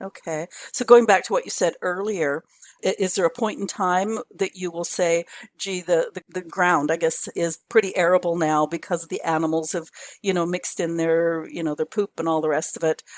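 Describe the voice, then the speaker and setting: A plain, everyday voice at a moderate pace with ordinary pitch variation, dry and close with no echo. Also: woman, fairly low pitch for a woman. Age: 60s. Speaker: podcast host. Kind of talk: interview. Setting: video call.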